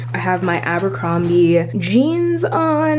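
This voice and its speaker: A woman speaks with music in the background and audible room echo. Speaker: lifestyle vlogger and PhD student. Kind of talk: vlog talking to camera. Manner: casual, chatty.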